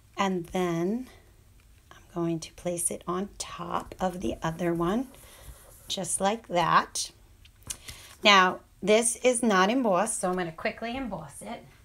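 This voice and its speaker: Very slow speech from a woman at medium pitch, ordinary pitch variation, long, frequent pauses, on a very clean recording with a silent background. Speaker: crafting tutorial host. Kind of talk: tutorial. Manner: casual, chatty.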